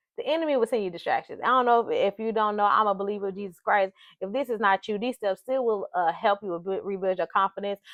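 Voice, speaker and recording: At a very fast pace with hardly any pauses, a woman speaks in a medium pitch. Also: ordinary pitch variation. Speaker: life coach. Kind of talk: motivational talk.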